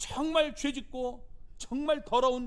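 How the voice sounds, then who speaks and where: A man at an extremely high pitch, with audible room echo. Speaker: pastor. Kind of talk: sermon.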